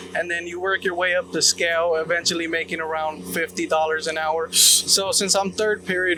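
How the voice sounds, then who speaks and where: A man's high-pitched voice with fairly flat intonation over noticeable background noise. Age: 20s. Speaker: ironworker apprentice. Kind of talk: on-site interview. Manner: hesitant, many fillers.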